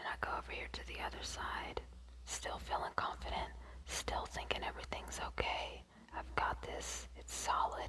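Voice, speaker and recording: Whispering at a moderate pace, a woman speaks through noticeable background noise. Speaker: ASMR creator. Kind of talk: ASMR get ready with me, casual talk to camera. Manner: soft-spoken; whispered.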